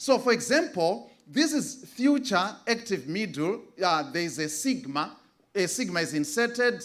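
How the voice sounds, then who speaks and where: The speaker has a Zimbabwean accent. The pace is very slow. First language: Shona. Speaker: conference presenter, biblical Greek scholar. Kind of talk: academic presentation. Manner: halting, many fillers.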